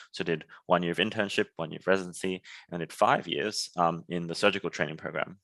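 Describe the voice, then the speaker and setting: In an Australian accent, a man speaks at a very fast pace with a very deep, low pitch. His intonation is monotone and flat, and the background is quiet. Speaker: startup founder, former surgeon. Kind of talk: podcast interview.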